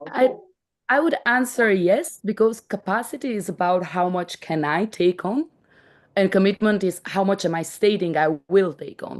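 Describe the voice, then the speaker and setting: Here a woman with a non-native accent speaks at medium pitch and a moderate pace. Her intonation is lively, and the background is quiet. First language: not English. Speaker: startup team member presenting a contributor-reward tool. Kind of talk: online meeting explanation. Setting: video call. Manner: halting, many restarts.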